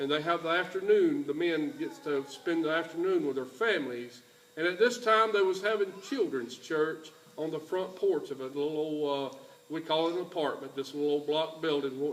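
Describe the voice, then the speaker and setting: Noticeable background noise sits under a man speaking at a fairly high pitch. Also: ordinary pitch variation, moderate pace. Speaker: church mission trip leader. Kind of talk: church presentation speech. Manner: folksy, halting.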